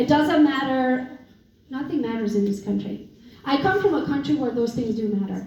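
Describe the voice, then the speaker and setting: Noticeable background noise and audible room echo surround a woman with a high pitch who speaks at a moderate pace in an animated tone with lively intonation. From Romania. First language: Romanian. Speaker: real estate entrepreneur and coach. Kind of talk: motivational talk.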